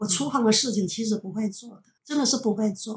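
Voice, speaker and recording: At a moderate pace, a woman talks in a somewhat breathy, fairly high-pitched voice with ordinary pitch variation. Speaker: retired teacher. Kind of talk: casual family conversation.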